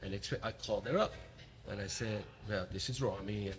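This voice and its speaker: A man talks with a Middle Eastern accent. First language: not English (speaks five languages). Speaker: podcast host. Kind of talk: interview conversation. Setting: remote recording. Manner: halting, repeats words.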